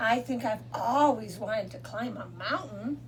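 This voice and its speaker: A woman puts on a character voice at a moderate pace, with clear background noise in the recording. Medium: read story. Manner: wondering, innocent.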